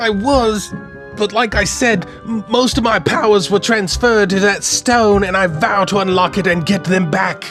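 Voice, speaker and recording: A put-on character voice speaks at a moderate pace and a middle pitch. Music plays clearly in the background. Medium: read story. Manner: earnest, determined.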